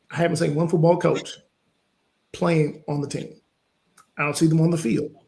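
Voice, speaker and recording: A man with a Southern US accent talks at a moderate pace in a dark, mellow tone, his pitch fairly high. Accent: Southern US accent, from Louisiana father. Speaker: business coach. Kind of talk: interview conversation. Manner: animated.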